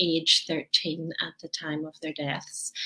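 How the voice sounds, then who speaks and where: A woman talks at a fairly slow pace with a Northern Irish accent. Her pitch is fairly low. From Northern Ireland, Belfast. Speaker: author and conference speaker. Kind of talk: interview.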